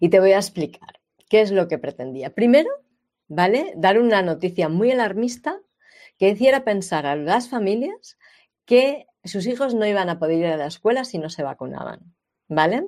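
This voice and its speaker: The recording is very clean with a silent background. The talking proceeds at a moderate pace. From Spain, Catalonia. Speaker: health podcast host. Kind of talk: monologue commentary. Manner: animated.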